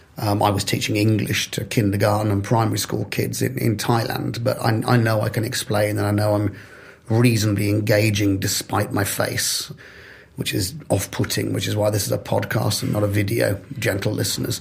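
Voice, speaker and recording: A man of fairly low pitch at a moderate pace, with noticeable background noise. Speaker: developer relations professional. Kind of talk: podcast interview.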